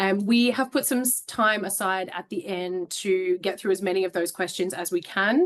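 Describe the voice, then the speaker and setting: With an Australian accent, the speaker talks at a fairly quick pace and ordinary pitch variation. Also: woman. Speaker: HR business partner, webinar host. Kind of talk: webinar hosting.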